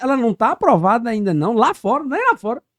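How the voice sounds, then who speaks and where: This man's voice sits at an extremely high pitch, and the sound is dry and close with no echo. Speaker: podcast host. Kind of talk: casual interview chat.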